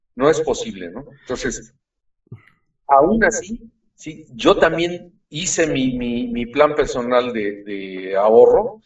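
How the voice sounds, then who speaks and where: Very slow delivery with big swings in loudness and very wide pitch swings. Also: man, fairly high pitch for a man. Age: 60s. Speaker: financial expert. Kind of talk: explanatory interview. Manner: halting, many fillers.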